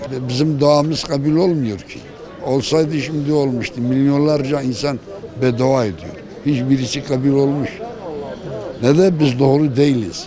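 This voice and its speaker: Noticeable background noise and audible room echo around a man's fairly high voice, with ordinary pitch variation. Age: 60s. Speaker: member of the public. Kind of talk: street interview.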